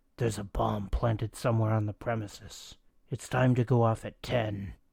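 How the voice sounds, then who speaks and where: Using a put-on character voice, a man sounds menacing, raspy and gravelly at a medium pitch. He keeps a moderate pace and fairly even intonation. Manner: low, menacing.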